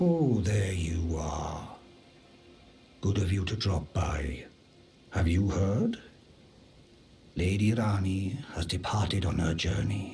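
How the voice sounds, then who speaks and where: A put-on character voice from a man, very deep and low, fairly slow, with long, frequent pauses. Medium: video game. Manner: polite, formal.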